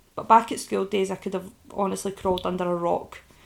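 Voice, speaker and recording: A woman with a Scottish accent, medium in pitch, at a very fast pace. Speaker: podcaster and online business owner. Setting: recording from bed at home. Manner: casual, candid, swears often.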